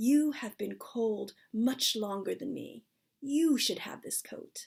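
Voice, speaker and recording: Putting on a character voice, a woman speaks fairly slowly at a fairly high pitch, her loudness swinging widely. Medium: read story.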